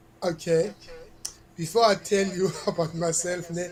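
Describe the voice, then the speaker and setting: A man with a South African accent and a high pitch speaks at a very slow pace over noticeable background noise. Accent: South African (Xhosa) English. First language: Xhosa. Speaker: reggae artist. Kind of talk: interview.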